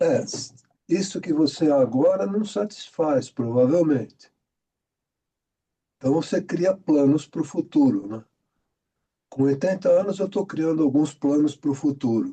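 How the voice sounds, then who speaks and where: A man talks in a dark, mellow tone with lively intonation, leaving long, frequent pauses. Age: 80s+. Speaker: participant in study group, director and practitioner. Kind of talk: casual discussion in online study group.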